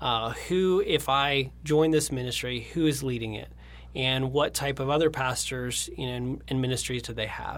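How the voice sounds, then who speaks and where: In an unremarkable speaking voice, a man talks at medium pitch and a moderate pace with fairly even intonation. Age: 30s. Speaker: creative director at a design agency. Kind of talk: interview.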